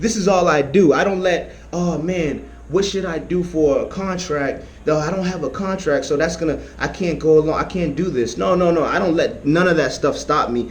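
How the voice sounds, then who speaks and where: Fairly quick and animated, the speech runs with hardly any pauses and ordinary pitch variation over noticeable background noise. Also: man. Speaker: vlogger giving money-making advice. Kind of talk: casual tutorial vlog. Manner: fast; animated, repetitive.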